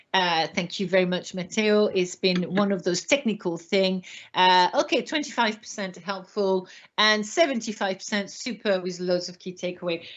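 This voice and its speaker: Speaking with a French accent, a woman keeps a moderate pace. Her pitch is medium. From France. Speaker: retail trainer. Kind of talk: webinar presentation. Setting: online webinar. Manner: animated.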